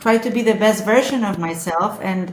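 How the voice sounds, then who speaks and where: With a Spanish accent, a woman speaks at a fairly high pitch amid audible room echo. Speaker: social media influencer. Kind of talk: casual chat. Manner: halting.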